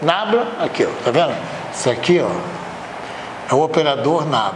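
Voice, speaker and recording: Amid noticeable background noise and audible room echo, a man speaks fairly slowly with lively intonation. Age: 80s+. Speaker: university math/engineering professor. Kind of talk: anecdote within lecture; lecture. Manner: conversational, filler-heavy.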